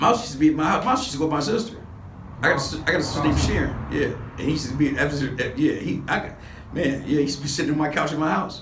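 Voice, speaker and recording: A man with an American accent talks at a very fast pace, his pitch fairly high with ordinary variation. Audible room echo and noticeable background noise fill the recording. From Los Angeles, US. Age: 60s. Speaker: former gang member. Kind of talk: interview. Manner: casual, halting.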